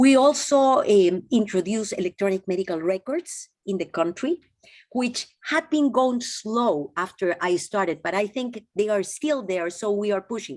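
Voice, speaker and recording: A woman with a Peruvian accent speaks at a medium pitch and a moderate pace, with lively intonation. The sound is dry and close, with no echo. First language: Spanish. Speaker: physician and former health minister. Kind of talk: interview. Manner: halting, with restarts.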